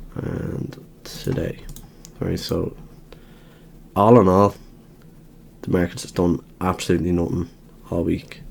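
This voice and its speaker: Someone speaks with an Irish accent over noticeable background noise. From Ireland. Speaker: trader, market commentator. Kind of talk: tutorial. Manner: casual, conversational.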